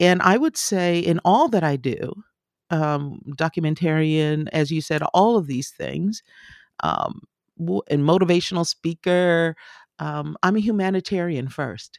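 A woman with an American accent and an unremarkable speaking voice talks fairly slowly at a fairly low pitch with ordinary pitch variation, in a dry, close sound with no echo. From grew up moving with US military, incl. Germany. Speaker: professor and journalist. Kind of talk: interview.

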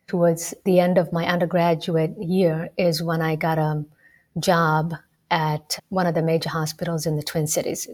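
Speaking with a Somali accent, a woman has a fairly low pitch, a somewhat breathy voice and a monotone, flat intonation. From Kenya, Rift Valley. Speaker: medical student and former medical interpreter. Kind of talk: interview.

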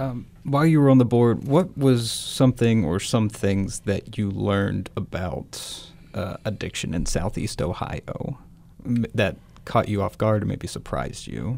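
This man has a normal speaking voice at a medium pitch, talking at a fairly slow pace with lively intonation. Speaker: reporter and podcast host. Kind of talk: casual interview conversation.

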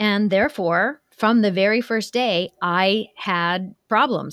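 A woman's medium-pitched voice, with ordinary pitch variation, has a dry, close sound with no echo on a very clean recording with a silent background. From US Midwest, Ohio. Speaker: cross-cultural consultant and author. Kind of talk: interview conversation.

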